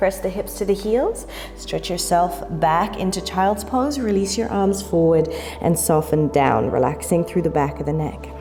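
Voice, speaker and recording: Music plays behind a woman speaking at a moderate pace. Her tone is calm and soothing. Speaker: yoga instructor. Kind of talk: guided yoga class instruction. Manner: calm, soothing.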